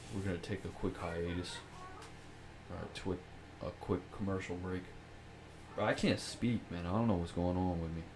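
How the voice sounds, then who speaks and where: The man's voice is very deep and low, delivered flat and monotone at a moderate pace. Long pauses come often, and background noise is noticeable. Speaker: podcast host. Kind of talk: casual chat.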